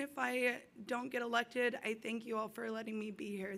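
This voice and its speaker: A woman speaks in a raised, projected voice with a bright, sharp tone. Her pace is moderate and her intonation fairly even. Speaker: recovery house resident running for council. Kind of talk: campaign speech.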